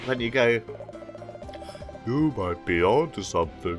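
A man uses a put-on character voice. Clear music plays in the background. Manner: mopey, self-pitying.

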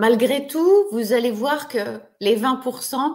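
A woman's pitch varies in an ordinary way as she talks against a quiet background. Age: 40s. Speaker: online therapist and trainer. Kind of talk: webinar lecture to an online audience. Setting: video call webinar. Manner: warm, friendly, conversational. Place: home room. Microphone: webcam.

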